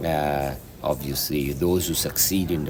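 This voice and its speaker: The speaker has a slight Italian accent and ordinary pitch variation. Audible room echo and noticeable background noise come through. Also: man. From Italy, Marche region. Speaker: film director. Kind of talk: interview. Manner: halting, many fillers.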